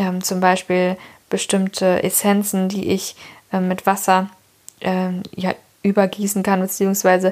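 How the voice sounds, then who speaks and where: A woman's medium-pitched voice, very slow, with monotone, flat intonation. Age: 20s. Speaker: podcast host, new mother. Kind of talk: casual chat. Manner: hesitant, many fillers.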